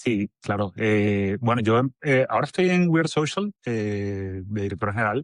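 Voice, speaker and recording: In a Venezuelan accent, a man speaks at a fairly low pitch, recorded dry and close with no echo against a quiet background. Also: lively intonation, fairly slow pace. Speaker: agency director. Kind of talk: podcast interview.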